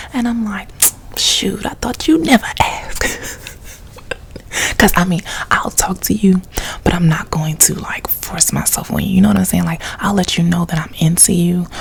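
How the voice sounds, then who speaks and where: Against noticeable background noise, a soft-spoken woman with an American accent talks with lively intonation. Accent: casual colloquial American English. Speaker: ASMR YouTuber. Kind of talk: story time, casual talk to camera. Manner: soft-toned, chatty, humorous.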